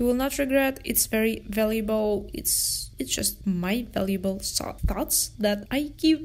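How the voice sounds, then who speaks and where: A woman speaks at a fairly slow pace. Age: 20s. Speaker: podcast host and photographer. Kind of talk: casual solo talk. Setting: room near the jungle.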